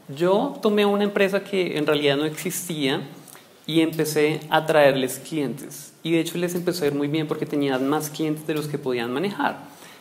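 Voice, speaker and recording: Audible room echo surrounds a man speaking at a moderate pace in a fairly high voice with ordinary pitch variation. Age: 20s. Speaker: business coach and speaker. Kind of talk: lecture.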